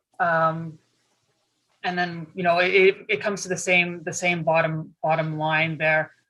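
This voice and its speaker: Loud and fairly low in pitch, a woman talks at a fairly slow pace with a bright, sharp tone and monotone, flat intonation. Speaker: municipal finance staff presenting budget. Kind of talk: budget presentation in council meeting.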